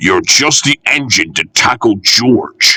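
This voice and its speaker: Growling in a put-on character voice, a man speaks at a medium pitch. His pace is fairly slow. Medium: read story. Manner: grave, dry.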